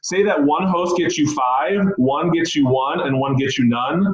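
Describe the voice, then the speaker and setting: The voice belongs to a man. Ordinary variation shows in his pitch. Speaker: direct sales team leader. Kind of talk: training call. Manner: fast; animated.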